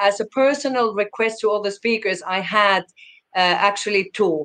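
Here a woman speaks with a Finnish accent. Her pitch is fairly high, with ordinary pitch variation. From Finland. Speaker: conference program director. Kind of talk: interview. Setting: video call.

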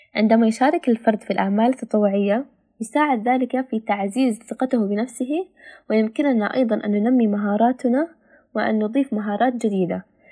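Speaking at a moderate pace, a woman has a fairly high pitch and a dark, mellow tone. Her voice is somewhat breathy, with ordinary pitch variation. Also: quiet background. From Palestine. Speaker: student volunteer. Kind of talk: prepared talk in Standard Arabic. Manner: formal.

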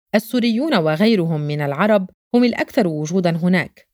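A woman speaks in an ordinary speaking voice at a fairly low pitch and moderate pace. Her intonation is lively, and the sound is dry and close with no echo. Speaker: photojournalist narrator. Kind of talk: scripted narration.

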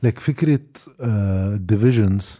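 This man speaks at a moderate pace with a medium pitch and ordinary pitch variation. His tone is dark and mellow. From Lebanon. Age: 30s. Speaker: journalist. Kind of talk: casual chat.

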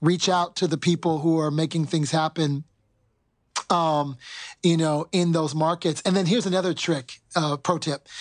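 In a normal speaking voice, a man with an American accent talks at a moderate pace and a fairly high pitch, with fairly even intonation against a quiet background. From US West Coast, Oakland. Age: 50s. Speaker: cultural anthropologist, marketing executive. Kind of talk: casual interview.

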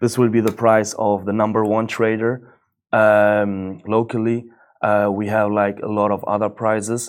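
Monotone, flat intonation at a fairly slow pace. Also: man, fairly low pitch for a man. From Germany, Moroccan family. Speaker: company founder and CEO. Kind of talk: interview. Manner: halting, many fillers.

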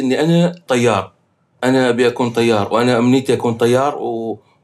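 A man with an unremarkable speaking voice, medium pitch, moderate pace. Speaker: film composer. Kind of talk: casual chat.

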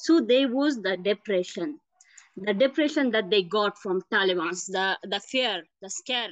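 A woman speaks at a moderate pace and a medium pitch, with lively intonation. The sound is dry and close, with no echo. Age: young. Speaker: volunteer, former teacher or government worker. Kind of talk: interview testimony. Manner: halting.

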